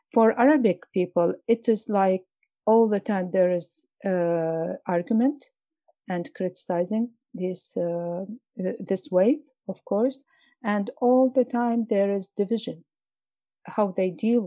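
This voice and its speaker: A woman speaks with an Iraqi accent in a dark, mellow tone at medium pitch with ordinary pitch variation. Her delivery has long, frequent pauses, and the sound is dry and close with no echo. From Mosul, Iraq. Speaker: poet and journalist. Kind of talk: interview. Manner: halting.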